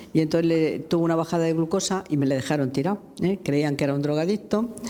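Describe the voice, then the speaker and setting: Against noticeable background noise, a woman with a fairly low pitch talks very fast with ordinary pitch variation and very even loudness. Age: 80s+. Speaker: lawyer and human rights activist. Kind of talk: public interview. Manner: halting.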